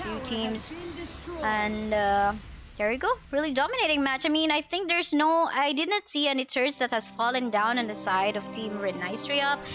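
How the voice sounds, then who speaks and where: A woman's high voice with lively intonation at a moderate pace, long and frequent pauses, and music in the background. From Philippines. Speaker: esports shoutcaster. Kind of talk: live commentary. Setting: livestream. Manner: animated.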